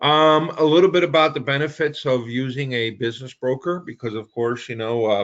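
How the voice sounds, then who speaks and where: A man with a Spanish accent speaks at a fairly quick pace with hardly any pauses, his medium-pitched voice showing ordinary pitch variation. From Puerto Rico. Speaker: business broker. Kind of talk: presentation.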